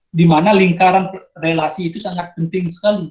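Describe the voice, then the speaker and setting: A man with a strong Balinese accent talks at a fairly quick pace and a high pitch. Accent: Nusa Penida (Balinese) accent, thick. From Nusa Penida, Bali, Indonesia. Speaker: outstanding student sharing experience. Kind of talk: sharing session talk to students. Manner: halting, many fillers and restarts.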